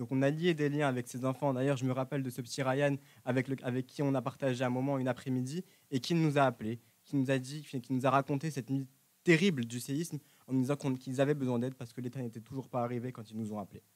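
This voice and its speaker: Medium in pitch and fairly even in intonation, a man talks at a very fast pace. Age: young. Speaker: student volunteer in humanitarian club. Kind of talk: interview. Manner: halting.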